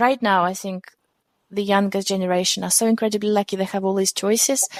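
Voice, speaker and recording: A woman with a non-native accent speaks at medium pitch in a dry, close sound with no echo. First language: not English. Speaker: tech company founder and CEO. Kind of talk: interview.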